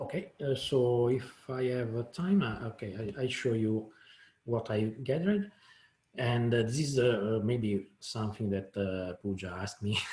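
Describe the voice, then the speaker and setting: A man talks at a fairly slow pace in an Italian accent, his voice somewhat breathy. His pitch sits in the medium range with ordinary pitch variation. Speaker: software developer, proposal author. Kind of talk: technical presentation. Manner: halting, many fillers and repetitions.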